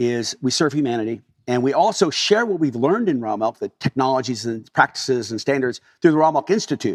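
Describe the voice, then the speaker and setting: A man's fairly high voice with a Californian accent, lively intonation and a fairly quick pace, in dry, close sound with no echo. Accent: General American (Californian). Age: 60s. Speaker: dairy farmer. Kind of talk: interview storytelling. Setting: on his farm.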